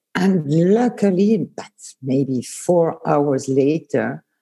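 A woman with a Swiss German accent speaks in a dark, mellow tone with vocal fry. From Lausanne, Switzerland. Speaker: former tour guide, podcast guest. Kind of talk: casual chat, interview.

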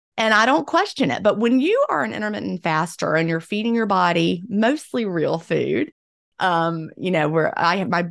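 Against a quiet background, a woman uses a normal speaking voice, fairly low in pitch, at a moderate pace with lively intonation. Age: 50s. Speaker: author and former teacher. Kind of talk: interview.

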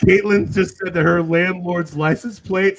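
His pitch sits high. The man talks with an American accent. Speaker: podcast host. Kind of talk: casual chat.

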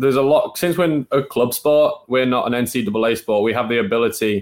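A medium-pitched man with a Manchester accent. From northern England, North Manchester. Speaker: college water skier. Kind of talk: podcast interview.

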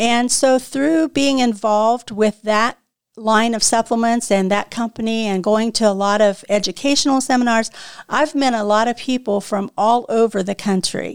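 At a moderate pace, a woman speaks at a fairly high pitch with fairly even intonation, recorded dry and close with no echo in a very clean recording with a silent background. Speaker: natural health podcast host and consultant. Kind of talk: interview about her work. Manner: passionate.

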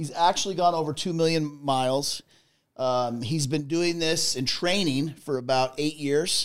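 This man has an unremarkable speaking voice, fairly high in pitch, with fairly even intonation and a moderate pace. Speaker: podcast co-host, trucking company manager. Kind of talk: casual chat. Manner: jokey, laughs often.

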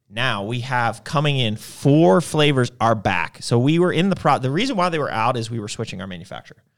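With hardly any pauses, a man in a normal speaking voice talks fairly quickly at medium pitch with lively intonation, in a very clean recording with a silent background. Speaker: podcast host. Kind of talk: casual banter on a livestream. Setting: live stream, two hosts. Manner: joking, playful, laughs a lot.

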